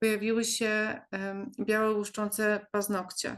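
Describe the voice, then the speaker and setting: A woman speaks fairly slowly with a monotone, flat intonation. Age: 40s. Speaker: patient. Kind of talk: testimony. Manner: halting.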